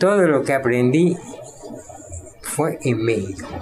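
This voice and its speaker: Music plays in the background, and the room echo is audible. A man speaks at a fairly high pitch with lively intonation. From Mexico, Yucatán (Mérida). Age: 90s. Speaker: painter. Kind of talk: interview.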